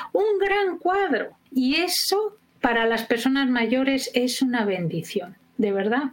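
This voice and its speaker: In a very slow pace, a woman speaks at a high pitch with very wide pitch swings and very even loudness, over noticeable background noise. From Spain. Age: 60s. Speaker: educator and biographical work trainer. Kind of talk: interview.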